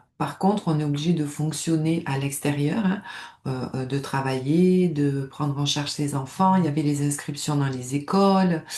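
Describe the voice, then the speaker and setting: With a southern French accent, a woman speaks fairly slowly in a very deep, low pitch with ordinary pitch variation. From southern France, Nice. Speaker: stress management coach, former nurse. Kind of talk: personal testimony to camera. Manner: hesitant, many fillers and repetitions.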